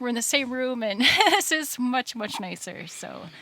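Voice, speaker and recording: With a Wisconsin accent, a woman's bright, sharp tone comes through dry and close with no echo. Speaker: band member. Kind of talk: casual chat. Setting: livestream Q&A in a basement.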